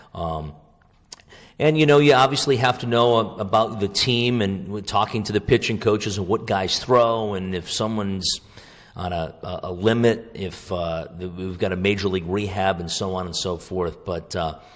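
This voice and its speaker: At a moderate pace, the speaker has a normal speaking voice with ordinary pitch variation. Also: man, fairly low pitch for a man. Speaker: radio play-by-play baseball broadcaster. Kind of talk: podcast interview answer, conversational.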